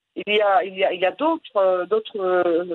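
The woman's intonation is lively, and she keeps a moderate pace. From Morocco. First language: Moroccan Arabic (speaking French). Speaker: storyteller and writer. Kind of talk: interview. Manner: halting.

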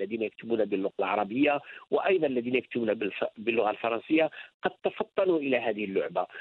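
With lively intonation, a man speaks in an ordinary speaking voice at medium pitch. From Algeria. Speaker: novelist and university professor. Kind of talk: interview.

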